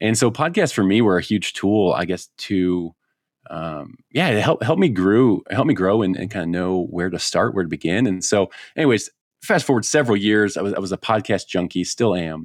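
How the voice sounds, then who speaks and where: In a very clean recording with a silent background, a man with an American accent and an unremarkable speaking voice talks at a moderate pace and fairly low pitch, his intonation lively. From US Midwest (Chicago). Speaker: hunting podcaster and bird dog trainer. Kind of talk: casual interview.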